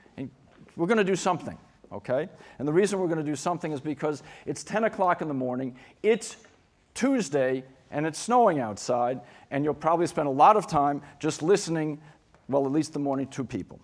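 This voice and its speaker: A man with a New York accent talks at a fairly quick pace in a fairly high voice, with lively intonation and long, frequent pauses. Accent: New York American. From New York City. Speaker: keynote speaker on school design. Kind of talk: conference keynote talk. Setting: conference stage with audience. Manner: fast; animated.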